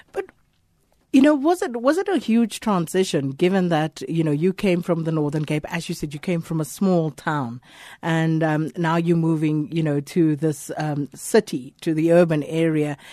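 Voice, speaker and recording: Her voice has a dark, mellow tone, and this woman uses ordinary pitch variation. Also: fairly low pitch for a woman, moderate pace. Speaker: radio host. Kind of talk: radio interview. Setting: studio.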